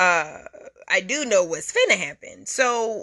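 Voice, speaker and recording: A woman's bright, sharp tone against a quiet background. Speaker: podcast host. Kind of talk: casual commentary. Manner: halting.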